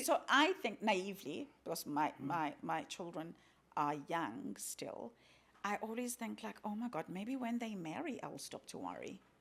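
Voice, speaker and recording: A woman of medium pitch speaks fairly slowly with vocal fry and very wide pitch swings. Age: 40s. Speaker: podcast host. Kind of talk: interview question.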